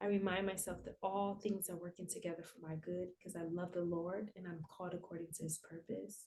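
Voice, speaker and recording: Soft-spoken and somewhat breathy, the voice moves at a fairly quick pace with hardly any pauses, in a calm, dark, mellow tone and monotone, flat intonation. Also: woman, fairly low pitch for a woman. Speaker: therapist. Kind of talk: guided breathwork.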